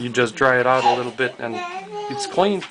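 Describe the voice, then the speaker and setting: A man talks while noticeable noise is heard in the background. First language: not English. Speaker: airgun hobbyist. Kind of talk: tutorial. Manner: halting.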